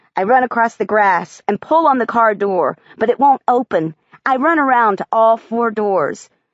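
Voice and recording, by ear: Over a quiet background, the passage is read aloud in a natural voice, its pitch varying in an ordinary way.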